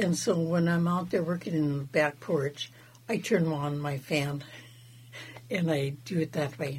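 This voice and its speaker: At a fairly slow pace, a woman with a very deep, low pitch speaks somewhat breathily. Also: ordinary pitch variation. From Southeast Alaska, Wrangell. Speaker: fry bread maker, traditional food preparer. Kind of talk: casual interview.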